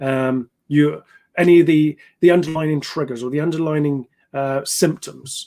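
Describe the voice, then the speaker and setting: A man speaks with a British accent in a fairly high pitch. The sound is dry and close, with no echo. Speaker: ex-soldier and trauma therapist. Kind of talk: educational talk on live stream. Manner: fast; halting with fillers.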